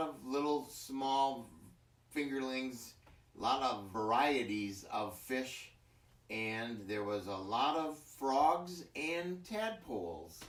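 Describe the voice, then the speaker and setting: A medium-pitched man's voice with an Upper Midwest accent and very wide pitch swings, with audible room echo. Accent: Upper Midwest American (Michigan). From Michigan, US Midwest. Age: 60s. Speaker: farmer. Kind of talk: interview. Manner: halting.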